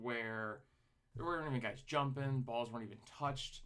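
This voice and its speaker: This man's bright, sharp tone sits at a medium pitch with ordinary pitch variation. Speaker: sports podcast host. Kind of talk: casual sports commentary. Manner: animated, excited; halting with fillers and restarts.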